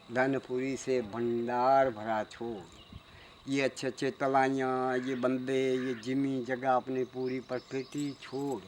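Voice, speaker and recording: Monotone, flat intonation runs through the clip. The man's pitch sits in the medium range. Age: old. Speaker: village storyteller. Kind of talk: oral folk tale telling to visitors. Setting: outdoors.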